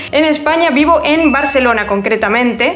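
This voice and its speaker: A woman amid noticeable background noise. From Argentina, La Rioja province. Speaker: YouTuber. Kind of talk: Q&A vlog.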